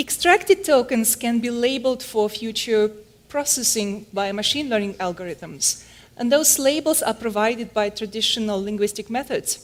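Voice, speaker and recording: A woman with a fairly high pitch and lively intonation keeps a moderate pace while noticeable background noise plays behind her. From Germany. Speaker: conference speaker, computational linguist. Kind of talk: conference talk.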